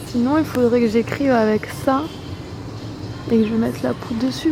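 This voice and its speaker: The speaking pace is moderate. Behind it, music can be heard. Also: woman. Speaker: YouTuber, vlogger. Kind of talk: casual vlog.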